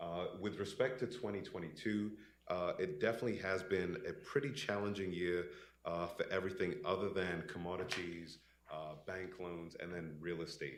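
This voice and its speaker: Very deep and low, a man's voice moves at a moderate pace with ordinary pitch variation and audible room echo. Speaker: investment consultant presenting to pension board. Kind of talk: business presentation. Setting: in-person meeting room. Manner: many filler words (uh).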